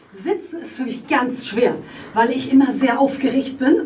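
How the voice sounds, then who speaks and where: A woman speaks in a high voice with fairly even intonation, over noticeable background noise and audible room echo. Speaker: rock band singer. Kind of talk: interview. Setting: band rehearsal room. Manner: many fillers (äh, ähm).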